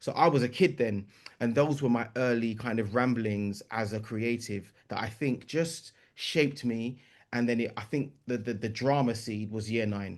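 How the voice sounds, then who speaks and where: A man speaks with a London accent and ordinary pitch variation. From East London. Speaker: writer, composer and performer. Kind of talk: podcast interview answer.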